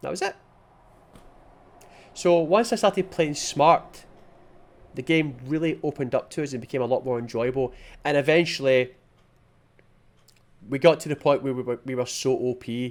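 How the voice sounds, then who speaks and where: On a very clean recording with a silent background, a man with a Scottish accent speaks at a moderate pace. His fairly high pitch varies in an ordinary way, with long, frequent pauses. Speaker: gaming youtuber. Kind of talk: video game review.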